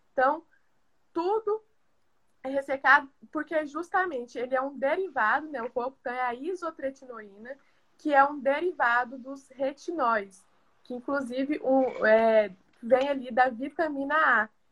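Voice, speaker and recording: A woman speaks at a fairly slow pace in a high pitch with ordinary pitch variation, big swings in loudness, and long, frequent pauses. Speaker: pharmacist. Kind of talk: live stream health talk. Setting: video call live stream.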